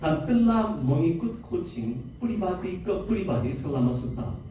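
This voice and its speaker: A man speaks at a fairly slow pace with very wide pitch swings. Audible room echo and noticeable background noise surround him. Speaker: seminar speaker. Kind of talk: seminar talk. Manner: halting.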